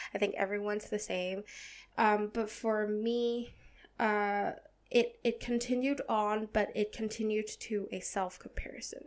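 A woman's fairly high, flat, monotone voice at a fairly slow pace. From Hong Kong. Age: 20s. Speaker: podcast host. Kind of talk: casual monologue. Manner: halting with many fillers.

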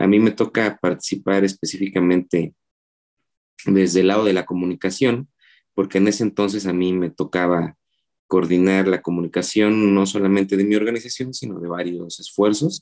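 A man talks in a normal speaking voice at a fairly low pitch with fairly even intonation. The sound is dry and close, with no echo. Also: moderate pace. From Oaxaca City, Mexico. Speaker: filmmaker and cartoonist. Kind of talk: interview conversation.

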